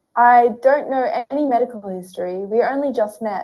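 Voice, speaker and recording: Intonation is lively here, and the delivery keeps a moderate pace. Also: woman. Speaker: writer, radio presenter and university lecturer. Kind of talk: casual chat. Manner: friendly, chatty.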